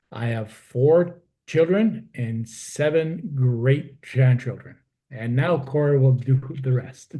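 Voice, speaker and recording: Speech comes at a very slow pace, with a dark, mellow tone. The pitch moves in an ordinary way, and the voice is somewhat breathy. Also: man, medium pitch for a man. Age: 60s. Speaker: stroke survivor. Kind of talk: personal testimony. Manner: halting.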